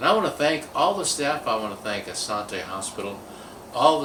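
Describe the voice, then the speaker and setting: A man talks with lively intonation. There is noticeable background noise and audible room echo. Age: 60s. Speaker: video marketer sharing a patient experience. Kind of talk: personal testimonial monologue. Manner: hesitant, many fillers.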